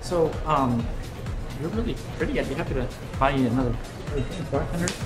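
Clear music plays in the background. A man talks over it at a very fast pace. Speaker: comedic actor. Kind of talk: sketch comedy acting. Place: bar.

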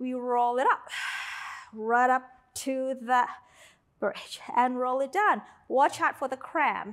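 Over a quiet background, a woman speaks at a very slow pace in a calm tone, her pitch high with ordinary variation. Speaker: Pilates instructor. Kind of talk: guided workout instruction, cueing breath and reps. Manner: rhythmic, counting out reps in a steady cadence; encouraging, calm cueing of breath and movement. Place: home room.

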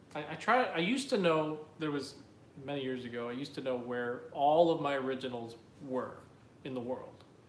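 Speaking at a moderate pace with ordinary pitch variation, a man with an American accent is heard over light background noise and audible room echo. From New Jersey. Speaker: artist. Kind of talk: live Q&A stream. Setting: live video stream. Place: home room. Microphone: phone near.

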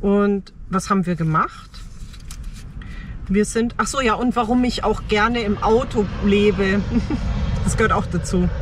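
Light background noise underlies a woman speaking at a fairly slow pace with long, frequent pauses, very even loudness, fairly even intonation and a dry sound with no echo. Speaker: car-dwelling nomad vlogger. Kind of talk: casual vlog chat. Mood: reflective, personal storytelling. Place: car. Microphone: phone near.

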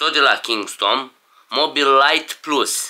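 A man at a fairly slow pace. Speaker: vlogger. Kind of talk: casual unboxing vlog chat. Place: home room. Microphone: camera far.

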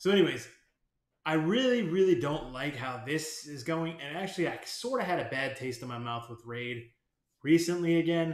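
A man talks at a fairly quick pace in an animated tone, his loudness swinging widely. The room echo is audible. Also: quiet background. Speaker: gaming YouTuber. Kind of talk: angry rant about game developer, ranting with swearing. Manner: irritated, sarcastic. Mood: frustrated, venting.

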